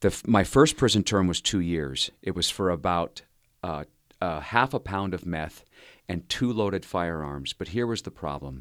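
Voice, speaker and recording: A man's very deep, low voice with an American accent, moderate pace and lively intonation on a very clean recording with a silent background. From Southern California. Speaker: former prisoner turned rehabilitation leader. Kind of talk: interview storytelling.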